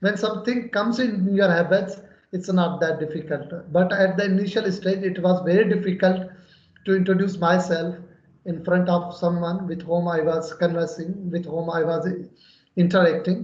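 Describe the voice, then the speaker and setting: Someone with a Pakistani accent speaks at a moderate pace with fairly even intonation, and audible room echo comes through. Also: man. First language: Urdu. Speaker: English learner. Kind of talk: conversation practice. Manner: halting.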